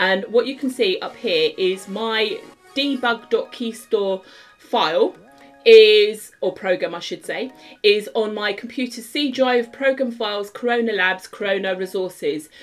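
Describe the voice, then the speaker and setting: A woman's fairly slow speech with ordinary pitch variation over faint background music. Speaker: app development tutor. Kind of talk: tutorial.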